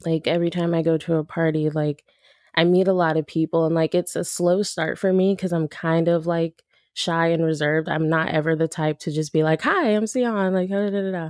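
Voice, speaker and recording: On a very clean recording with a silent background, the voice moves at a fairly quick pace with fairly even intonation, the sound dry and close with no echo. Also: woman, fairly low pitch for a woman. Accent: Californian. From Los Angeles, South Central and San Fernando Valley. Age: 20s. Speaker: aspiring music manager. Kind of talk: casual interview chat.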